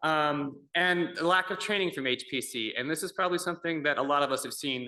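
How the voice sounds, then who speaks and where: A fairly quick, fairly high-pitched man's voice, bright and sharp in tone, with ordinary pitch variation. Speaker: conference presenter, image analyst. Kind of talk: conference talk. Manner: normally loud; casual, humorous delivery. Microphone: far from the microphone, hard to hear.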